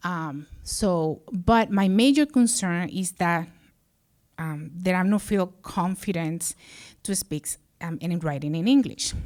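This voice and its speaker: Someone with a Spanish accent talks at a very slow pace with lively intonation, on a very clean recording with a silent background. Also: woman, fairly low pitch for a woman. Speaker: social services director. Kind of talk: personal storytelling on stage. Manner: halting, many fillers.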